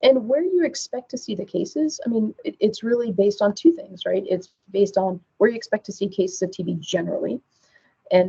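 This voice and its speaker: Talking at a fairly quick pace, a soft-spoken woman is heard. Her loudness swings widely. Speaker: pediatric TB physician. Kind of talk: webcast lecture. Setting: webcast presentation. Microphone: too quiet.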